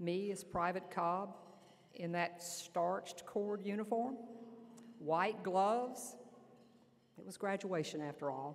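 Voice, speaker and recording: Speaking with an Alabama accent, a woman uses a medium pitch with ordinary pitch variation. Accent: Southern US (Alabama). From US South, Lower Alabama. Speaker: army general. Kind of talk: speech. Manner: loud.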